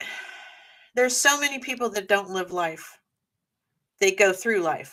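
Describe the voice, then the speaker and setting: A woman's medium-pitched voice with lively intonation, a moderate pace and long, frequent pauses. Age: 60s. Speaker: paranormal investigator. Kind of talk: casual chat.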